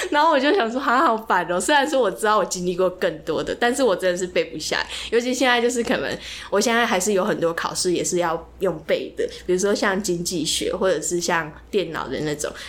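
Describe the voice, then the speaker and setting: Over noticeable background noise, a woman with a medium pitch speaks fairly quickly with lively intonation. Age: 20s. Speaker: podcast co-host, student. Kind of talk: casual chat.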